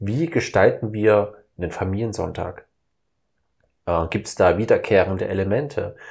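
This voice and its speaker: Against a quiet background, a man speaks at a moderate pace with long, frequent pauses. His fairly low voice is somewhat breathy and has ordinary pitch variation. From Saxony, eastern Germany. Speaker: podcast host. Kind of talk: casual chat.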